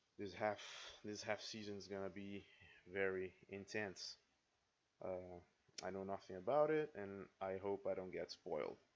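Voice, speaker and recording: A man with a non-native accent speaks at a moderate pace, with long, frequent pauses. His fairly low voice has ordinary pitch variation. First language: not English. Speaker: reaction video creator. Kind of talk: casual reaction commentary. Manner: halting, with frequent repetitions. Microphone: poor sound quality.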